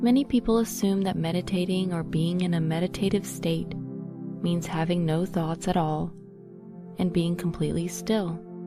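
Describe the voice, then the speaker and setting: Music plays in the background as a woman talks in a soothing, calm tone with fairly even intonation. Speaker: meditation guide. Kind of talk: guided meditation. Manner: soothing, relaxing; slow, calm.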